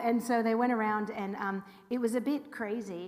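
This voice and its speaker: A woman speaks with a fairly high pitch. Audible room echo and noticeable background noise fill the recording. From California, Los Angeles. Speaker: rabbi. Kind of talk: info session talk to congregation. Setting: room with live audience and livestream. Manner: animated.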